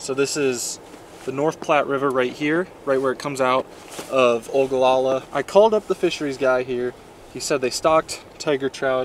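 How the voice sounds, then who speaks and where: The man talks at a moderate pace with fairly even intonation. The sound is dry with no echo, with light background noise. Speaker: angler vlogger. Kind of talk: casual vlog chat. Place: waterside. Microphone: phone near.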